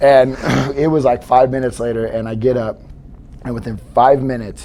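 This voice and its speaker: Over noticeable background noise, a man talks at a fairly quick pace in a medium-pitched, monotone, flat voice. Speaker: podcast host. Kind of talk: casual interview chat. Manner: casual, rambling with fillers.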